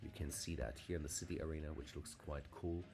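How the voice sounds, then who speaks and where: The speaker has a non-native accent and talks at a fairly quick pace with ordinary pitch variation. Music plays in the background. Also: man. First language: not English. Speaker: fantasy map maker and tabletop game master. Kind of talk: tutorial. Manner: halting, many filler sounds; casual.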